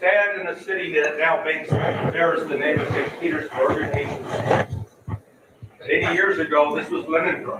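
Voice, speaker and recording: Someone with an American accent speaks at a moderate pace, with noticeable background noise and audible room echo. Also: man. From US Midwest, Missouri. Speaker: political analyst. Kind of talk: panel talk.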